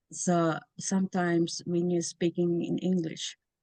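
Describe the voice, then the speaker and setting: A woman with a non-native accent and a dark, mellow tone, in a dry, close sound with no echo. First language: not English. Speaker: information science researcher. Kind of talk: interview. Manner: halting.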